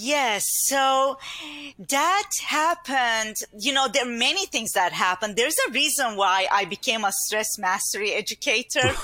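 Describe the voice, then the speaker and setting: A woman speaks with a Turkish accent in a high pitch. Her intonation is lively. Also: moderate pace. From Turkey. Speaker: inner mastery speaker and coach. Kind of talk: casual interview chat. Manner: warm, upbeat, laughs often.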